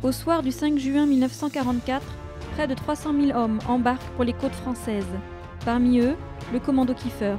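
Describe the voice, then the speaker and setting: With music in the background, a woman speaks at a moderate pace in a high voice with fairly even intonation and long, frequent pauses. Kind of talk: documentary narration.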